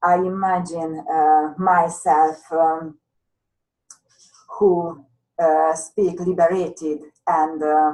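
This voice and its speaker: Speaking very slowly with long, frequent pauses, a woman uses a fairly low, dark, mellow voice with monotone, flat intonation. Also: very even loudness. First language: not English. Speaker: hypnotherapist and law of attraction coach. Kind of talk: interview. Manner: halting, many fillers.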